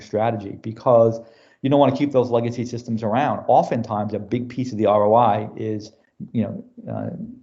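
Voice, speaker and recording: A man with an American accent. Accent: New York accent, stronger when passionate. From US Northeast, New York City. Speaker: business technology executive. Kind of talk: podcast interview. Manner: casual, filler-heavy.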